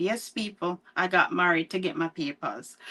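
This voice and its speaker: Bright, sharp tone from a woman with a Jamaican accent, medium pitch, ordinary pitch variation, and a quiet background. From Jamaica, near Mandeville (Spur Tree). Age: 40s. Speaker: author. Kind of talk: interview. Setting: livestream.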